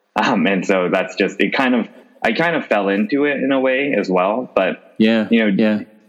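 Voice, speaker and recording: A man with an unremarkable speaking voice talks at a moderate pace and medium pitch. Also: ordinary pitch variation, very even loudness. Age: 30s. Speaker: retail company CEO. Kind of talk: interview.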